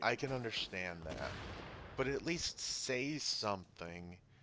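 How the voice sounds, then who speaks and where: A quiet man's voice, bright and sharp in tone, with very wide pitch swings. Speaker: gaming youtuber. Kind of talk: game review voice-over.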